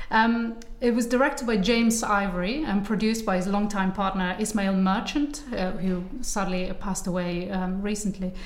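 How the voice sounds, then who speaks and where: Against noticeable background noise, a woman talks at a moderate pace, her medium pitch varying in an ordinary way. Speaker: film podcast interviewer. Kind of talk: casual interview chat.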